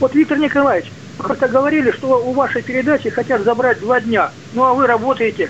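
Over noticeable background noise, a man talks very fast. His pitch is extremely high, with ordinary pitch variation. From Siberia. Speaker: caller. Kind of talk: call-in question. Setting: phone call.

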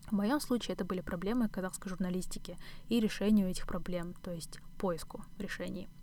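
Talking at a fairly quick pace, a woman has a dark, mellow tone and ordinary pitch variation. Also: medium pitch for a woman. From Kazakhstan, Astana. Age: 20s. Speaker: podcast host, doctoral student. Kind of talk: solo podcast monologue.

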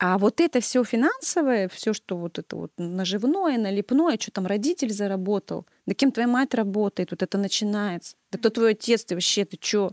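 With an ordinary speaking voice of medium pitch, a woman talks at a moderate pace with lively intonation, the sound dry and close with no echo. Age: 30s. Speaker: music teacher. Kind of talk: casual chat.

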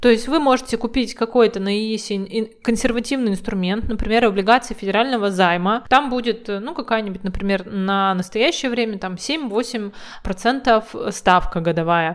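A woman speaks in an unremarkable speaking voice. Her pitch sits fairly high and varies in an ordinary way. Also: moderate pace, hardly any pauses. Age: 30s. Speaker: podcast co-host. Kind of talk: casual chat.

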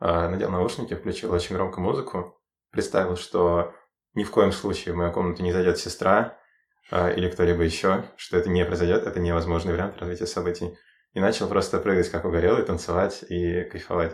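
On a very clean recording with a silent background, a man with a very deep, low, somewhat breathy voice talks at a fairly quick pace in a monotone, flat manner. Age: 20s. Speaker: university student. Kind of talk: casual chat. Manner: halting.

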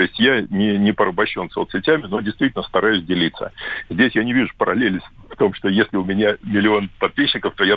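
This man has a normal speaking voice pitched fairly low. He talks at a fairly quick pace with ordinary pitch variation. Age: 40s. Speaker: fitness blogger. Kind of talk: interview.

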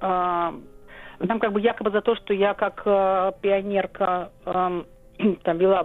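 The woman's pitch is medium. Her intonation stays monotone and flat. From Soviet Kyrgyzstan, Volga German family. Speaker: historian. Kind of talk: interview. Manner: halting, many fillers.

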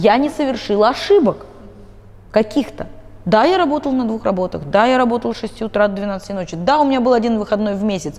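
Very fast and with lively intonation, a woman talks at a fairly high pitch. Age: 30s. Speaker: psychologist. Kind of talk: interview.

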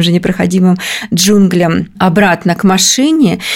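A woman speaks at a moderate pace in an unremarkable speaking voice, medium in pitch, with fairly even intonation. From Kemerovo region, Siberia. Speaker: round-the-world traveller. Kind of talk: interview.

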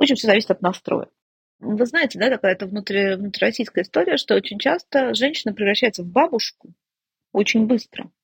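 A woman at a fairly quick pace, fairly high in pitch and somewhat breathy, in a dry, close sound with no echo. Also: ordinary pitch variation. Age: 50s. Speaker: family psychologist. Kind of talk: interview conversation.

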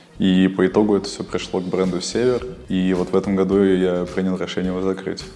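Music plays in the background. The speaker talks at a fairly quick pace with monotone, flat intonation. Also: man, very deep, low pitch for a man. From Kyrgyzstan. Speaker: fashion model and clothing designer. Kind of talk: interview.

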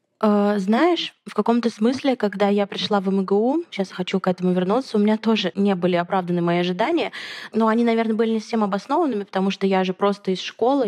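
Speaking at a fairly quick pace, a woman has an ordinary speaking voice at a medium pitch with ordinary variation, in a dry, close sound with no echo. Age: 20s. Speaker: podcast host. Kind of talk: casual chat.

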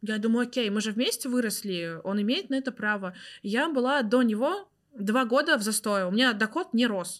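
With an ordinary speaking voice, a woman talks at a fairly high pitch and moderate pace with ordinary pitch variation, in a very clean recording over a silent background. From Tatarstan, Russia. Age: 20s. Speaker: tarot reader. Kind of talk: casual chat.

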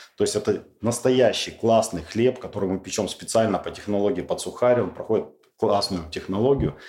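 A man's medium-pitched, dark and mellow voice with ordinary pitch variation at a moderate pace. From Urals, Russia. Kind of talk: interview.

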